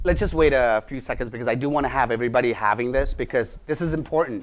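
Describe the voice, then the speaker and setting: A man speaks. His pace is very fast. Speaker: real estate instructor. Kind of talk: lecture.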